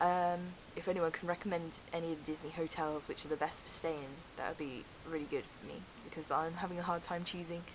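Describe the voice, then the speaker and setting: A woman with a West Country accent speaks very fast in a fairly low voice with monotone, flat intonation. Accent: West Country, rhotic. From Cheltenham, southwest England. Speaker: vlogger. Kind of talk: casual vlog. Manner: hesitant, many fillers. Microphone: digital camera mic, poor sound.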